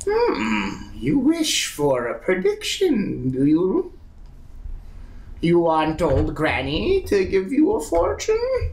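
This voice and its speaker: A man performs a put-on character voice at a very slow pace. Light background noise can be heard. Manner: creepy, sly, repetitive.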